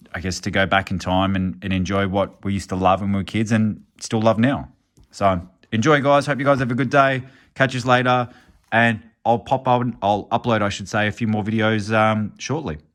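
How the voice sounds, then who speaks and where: Speaking with an Australian accent, a man sounds enthusiastic, his fairly low pitch showing ordinary variation. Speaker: YouTuber, card collector. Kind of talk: casual vlog. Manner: casual, enthusiastic.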